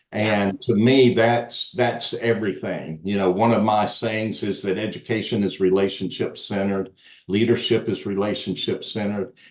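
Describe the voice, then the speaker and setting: A man with a Southern US accent, fairly low in pitch, at a moderate pace, with fairly even intonation and hardly any pauses. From US South. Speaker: education expert and author. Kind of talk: podcast interview.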